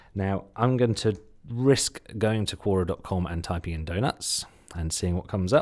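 This man speaks with a slight Suffolk accent at a moderate pace. The recording is very clean, with a silent background. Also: ordinary pitch variation. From Suffolk, England. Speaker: podcast host and SEO marketer. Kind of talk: solo podcast talk, rerun of a presentation. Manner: animated, casual.

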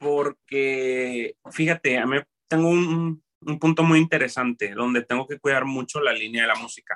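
A man's ordinary speaking voice at a fairly high pitch and fairly slow pace, with ordinary pitch variation and a dry, close sound with no echo. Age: 30s. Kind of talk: casual interview.

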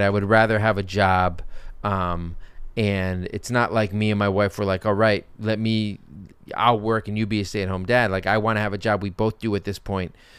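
In an American accent, a man speaks with a plain, everyday voice at a fairly low pitch. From Brooklyn, New York. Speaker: podcast host. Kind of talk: casual comedic banter, mailbag Q&A. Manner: sarcastic, joking, fast-talking.

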